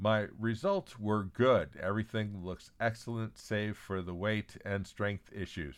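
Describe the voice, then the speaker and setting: A man speaks in an ordinary speaking voice at a fairly slow pace, with fairly even intonation and hardly any pauses. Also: fairly low pitch for a man. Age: 60s. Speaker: newsletter publisher and podcast host. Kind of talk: scripted news reading.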